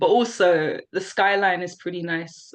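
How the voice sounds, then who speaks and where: A woman with a London accent speaks at a fairly low pitch against a quiet background. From South London, England. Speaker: poet. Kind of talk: casual interview chat.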